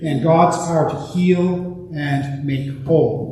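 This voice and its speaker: A man speaks at a fairly high pitch. Noticeable background noise and audible room echo can be heard. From Quebec, Montreal. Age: 60s. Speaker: visiting priest. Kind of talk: sermon. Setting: church. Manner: halting, many fillers.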